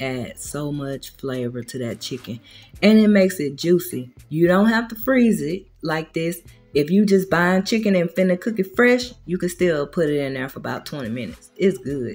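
A woman with a fairly low pitch speaks at a moderate pace, her loudness swinging widely, while faint music plays in the background. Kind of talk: tutorial. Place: kitchen. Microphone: camera far.

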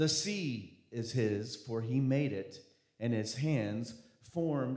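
With lively intonation, a man talks at a very slow pace in a room with audible echo and a quiet background. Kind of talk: scripture reading and announcement. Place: church. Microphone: handheld.

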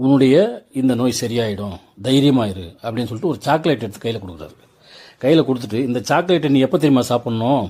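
A man's dark, mellow tone with lively intonation. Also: medium pitch for a man. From Tamil Nadu, Tindivanam. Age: 60s. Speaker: travel vlogger and commentator. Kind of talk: storytelling monologue over scenery. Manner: conversational, rhetorical questions.

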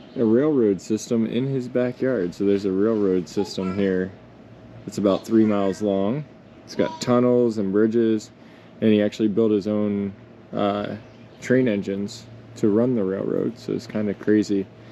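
A man with an ordinary speaking voice, fairly low in pitch, fairly even intonation, moderate pace, light background noise. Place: open country. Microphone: phone near.

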